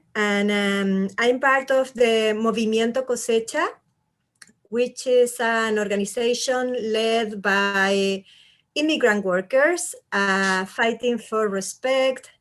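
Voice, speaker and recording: In a Chilean accent, a woman speaks very slowly at a fairly high pitch against a quiet background. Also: ordinary pitch variation. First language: Spanish. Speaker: immigrant rights activist. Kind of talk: panel discussion.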